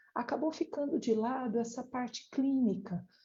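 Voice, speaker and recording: Soft-spoken and somewhat breathy, a woman talks with ordinary pitch variation. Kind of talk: lecture. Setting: online live stream.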